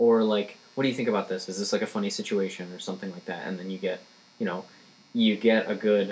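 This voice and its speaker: A man speaks at a very fast pace. The intonation stays fairly even. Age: 20s. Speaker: stand-up comedian. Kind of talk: casual chat.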